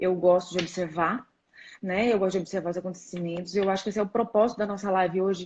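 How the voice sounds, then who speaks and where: A woman at medium pitch, with monotone, flat intonation and a very fast pace. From São Paulo state, Brazil. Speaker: rheumatologist. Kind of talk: live-stream interview. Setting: live stream on social media.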